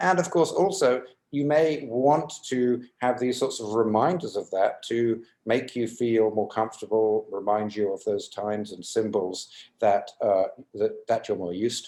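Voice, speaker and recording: A man speaks slowly, at a fairly unhurried pace, in a British accent. His tone is dark and mellow. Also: medium pitch for a man, ordinary pitch variation. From UK. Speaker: psychology professor. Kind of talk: interview. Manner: hesitant, many fillers.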